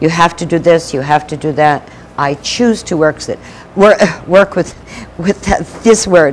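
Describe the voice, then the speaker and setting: Against noticeable background noise, a woman talks at a fairly slow pace in a fairly low pitch. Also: ordinary pitch variation. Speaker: spiritual minister / speaker. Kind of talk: spiritual talk to an audience.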